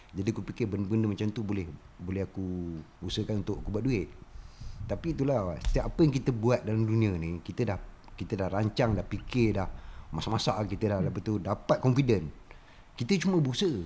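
This man talks at a very fast pace, at a fairly low pitch with ordinary pitch variation. His voice is somewhat breathy, with a dark, mellow tone. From Malaysia, Raub, Pahang. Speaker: artist and former factory worker. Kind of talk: casual chat.

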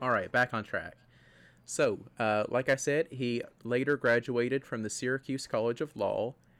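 Recorded dry and close with no echo, a man speaks at a moderate pace and medium pitch in a monotone, flat intonation. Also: very clean recording, silent background. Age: 20s. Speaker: podcast co-host. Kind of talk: casual chat.

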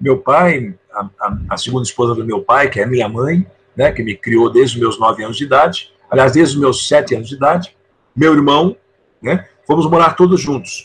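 Here a man talks at a moderate pace with a fairly high pitch. His voice is somewhat breathy and his intonation lively. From Brazil, São Paulo city. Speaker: sales trainer and author. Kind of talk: interview.

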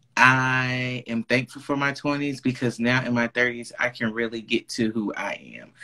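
Over noticeable background noise, a man talks fairly slowly yet with hardly any pauses, his intonation monotone and flat. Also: medium pitch for a man. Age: 30s. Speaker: podcast guest. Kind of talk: casual chat.

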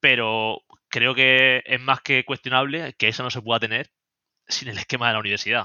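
With a bright, sharp tone, the voice moves at a fairly quick pace in a very clean recording with a silent background and a dry, close sound with no echo. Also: man. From Spain, Murcia. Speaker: AI project manager and online learning creator. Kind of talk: interview conversation.

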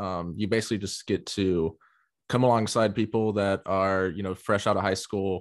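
A man speaks at a moderate pace with an American accent. His fairly low voice stays flat and monotone. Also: very clean recording, silent background. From US South. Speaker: podcast host. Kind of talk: casual interview. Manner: hesitant, many fillers.

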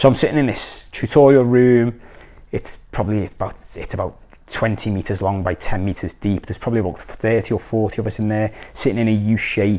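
In a Liverpool accent, a man talks at a fairly quick pace with a fairly low pitch, a dark, mellow tone and fairly even intonation, on a very clean recording with a silent background. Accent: Scouse (Liverpool). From Liverpool, England. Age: 30s. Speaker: life coach. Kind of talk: personal storytelling monologue. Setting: recorded video. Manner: casual, with frequent fillers and restarts.

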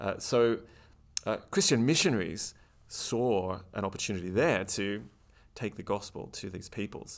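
A man speaks with an Australian accent at a moderate pace. His pitch is fairly low, with ordinary pitch variation. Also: very clean recording, silent background. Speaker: historian. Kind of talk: interview conversation.

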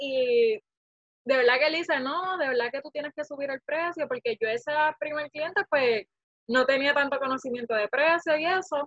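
A woman's high-pitched voice with ordinary pitch variation at a moderate pace. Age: 20s. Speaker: small business owner, vacation rental host. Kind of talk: interview.

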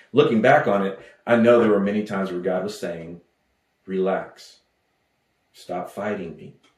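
A man with an American accent talks at fairly low pitch and a moderate pace, with ordinary pitch variation and long, frequent pauses. Audible room echo surrounds his voice. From West Texas. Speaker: pastor. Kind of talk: sermon. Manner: halting.

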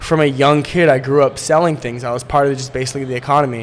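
Against noticeable background noise, a man with an American accent talks at a very fast pace in a fairly high pitch with fairly even intonation. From Poland and US. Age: 20s. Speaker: real estate entrepreneur. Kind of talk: casual interview.

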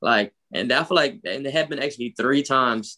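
Fairly quick delivery from a man, medium in pitch, with ordinary pitch variation. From North Philadelphia. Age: 20s. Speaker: travel enthusiast. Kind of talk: casual chat.

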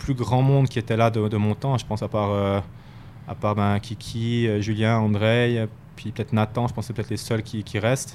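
The speaker is a man with a medium pitch. He talks at a moderate pace in a monotone, flat intonation. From Switzerland, Fribourg. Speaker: professional ice hockey player. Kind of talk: interview. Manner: halting, with many repetitions.

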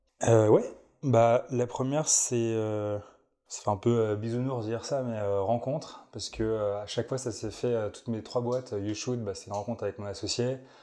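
This man has a medium pitch and a dark, mellow tone. He keeps a moderate pace with fairly even intonation. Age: 20s. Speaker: startup executive, former founder. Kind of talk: interview. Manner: casual, hesitant with fillers.

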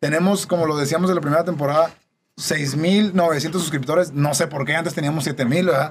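Here is a plain, everyday voice from a man at a fairly quick pace. His pitch is fairly high and his intonation fairly even. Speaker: podcast host. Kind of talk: casual chat.

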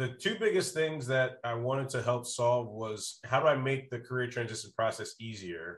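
A somewhat breathy man's voice at a medium pitch, with lively intonation, a moderate pace and hardly any pauses. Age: 30s. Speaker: sales consultant and startup advisor. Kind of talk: casual interview chat.

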